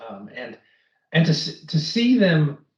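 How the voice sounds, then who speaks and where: With an American accent, a man talks at a fairly high pitch and sounds somewhat breathy. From United States. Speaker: finance executive. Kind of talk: interview. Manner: repetitive false starts.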